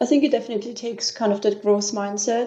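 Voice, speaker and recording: The voice has a dark, mellow tone. It carries an Austrian accent. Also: woman. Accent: Austrian German accent, often heard as French. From Austria, Vienna. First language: German. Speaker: business systems manager. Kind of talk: interview. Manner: hesitant, many fillers.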